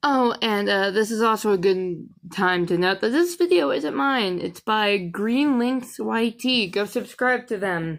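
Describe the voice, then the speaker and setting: On a very clean recording with a silent background, a woman speaks quietly at a medium pitch and a fairly slow pace, her intonation lively. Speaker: streamer. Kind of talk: casual live stream commentary. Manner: halting.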